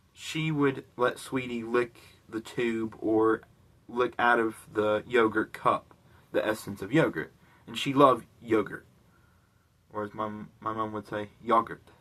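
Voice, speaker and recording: A man with an American accent speaks at a medium pitch and a fairly slow pace, his tone bright and sharp. His intonation stays fairly even, broken by long, frequent pauses. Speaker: vlogger. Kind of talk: casual storytelling vlog. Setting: recording at home in bedroom. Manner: casual, many fillers like 'like' and 'you know'.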